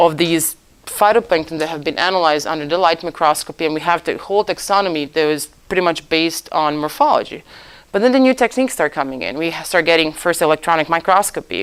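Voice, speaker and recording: A woman speaks very fast in a Croatian accent. Her pitch is fairly low, with ordinary pitch variation. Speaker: oceanographer lecturer. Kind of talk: lecture. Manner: halting.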